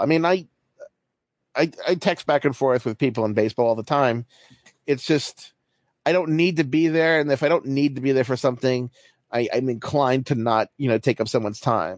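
A man's normal speaking voice at a medium pitch, fairly quick in pace, with ordinary pitch variation, very even loudness, and a dry, close sound with no echo. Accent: American. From US, Baltimore. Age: 40s. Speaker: baseball writer. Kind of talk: casual chat.

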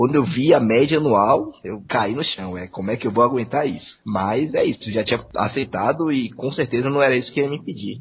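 Hardly pausing, a man talks at a fairly quick pace in a somewhat breathy voice with ordinary pitch variation. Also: medium pitch for a man. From Salvador, Bahia, Brazil. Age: 20s. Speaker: engineering trainee. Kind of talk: interview.

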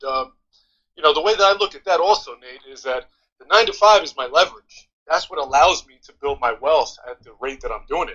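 A man talks at a fairly quick pace with a high pitch. His intonation is lively, and his loudness swings widely. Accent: American. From New York, Yonkers. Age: 30s. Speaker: dividend investor and PE teacher. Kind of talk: casual chat. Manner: animated.

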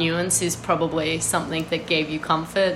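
A woman's speech comes with audible room echo and noticeable background noise. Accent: Australian. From Australia. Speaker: writer and art critic. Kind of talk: casual chat. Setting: video call.

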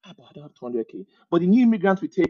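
A man with a Nigerian accent speaks at a high pitch, his voice making very wide pitch swings. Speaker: immigrant guest. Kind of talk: casual interview chat.

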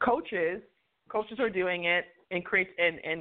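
A woman with an American accent, at a moderate pace and with ordinary pitch variation. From New York. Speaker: HR and diversity consultant. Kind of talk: casual interview. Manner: animated.

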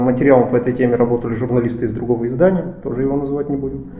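A man's medium-pitched voice with fairly even intonation, noticeable background noise and audible room echo. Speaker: journalist and podcast host. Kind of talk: podcast discussion; scripted narration.

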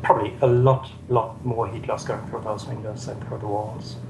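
A man speaks at medium pitch and a moderate pace in a flat monotone. Noticeable background noise and audible room echo are present. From southern Germany. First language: German. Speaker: software developer and energy researcher. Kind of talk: interview.

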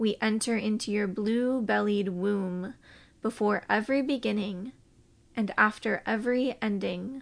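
A normal speaking voice with fairly even intonation moves at a fairly slow pace against a quiet background. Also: woman, fairly high pitch for a woman. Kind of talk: reading aloud a published prayer; fervent invocational prayer addressed to a goddess. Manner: slow, reverent, incantatory cadence with repeated refrains.

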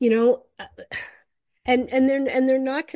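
A dark, mellow tone over a quiet background. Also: woman. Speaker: podcast host. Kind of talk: casual chat. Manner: chatty, animated.

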